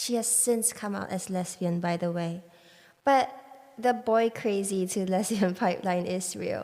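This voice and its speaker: Her tone is dark and mellow. The woman speaks at a fairly slow pace. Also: medium pitch for a woman, ordinary pitch variation. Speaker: podcast host. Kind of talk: casual podcast talk.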